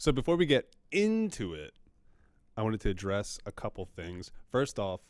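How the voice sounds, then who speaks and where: A man with a medium pitch speaks at a moderate pace, his loudness rising and falling sharply and his pitch swinging very widely, on a very clean recording with a silent background. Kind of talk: casual chat. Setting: library. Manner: frequent ums and uhs; quiet.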